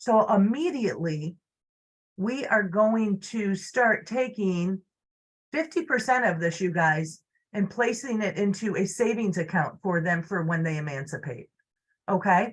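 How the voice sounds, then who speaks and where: Somewhat breathy and medium in pitch, a woman's voice moves at a fairly slow pace. Her intonation is lively. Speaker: social services caseworker. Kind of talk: informational presentation. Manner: hesitant, many fillers.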